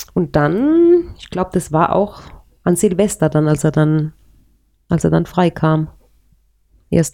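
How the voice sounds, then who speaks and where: A woman speaks in a fairly low pitch with a dark, mellow tone. The recording is very clean, with a silent background. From Palatinate, Germany (Speyer area), later childhood in Paraguay. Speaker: interviewee sharing her life story. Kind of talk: personal life story in a casual interview.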